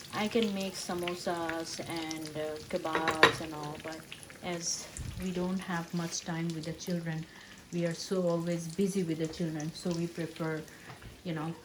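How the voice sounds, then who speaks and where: A soft-spoken woman talks at a fairly slow pace with a fairly low pitch and monotone, flat intonation. Noticeable background noise runs beneath her voice. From Bangladesh. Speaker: vlogger. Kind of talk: cooking vlog narration. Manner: halting.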